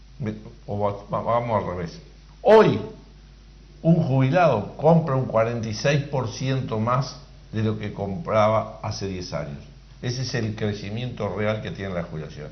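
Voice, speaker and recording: The man's voice is fairly low in pitch, with lively intonation. He speaks at a fairly slow pace amid audible room echo. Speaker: workers' representative on social security board. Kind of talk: call-in radio Q&A.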